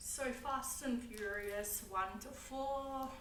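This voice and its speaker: In an Australian accent, the speaker uses ordinary pitch variation amid noticeable background noise and audible room echo. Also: woman. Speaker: YouTuber. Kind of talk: casual vlog talk. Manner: casual, hesitant with fillers.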